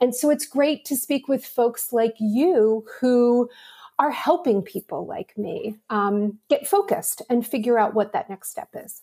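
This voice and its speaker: With a high pitch yet a dark, mellow tone, a woman speaks at a fairly slow pace with lively intonation and big swings in loudness, the sound dry and close with no echo. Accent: American. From Pittsburgh, Pennsylvania, US. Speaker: marketing executive. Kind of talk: interview.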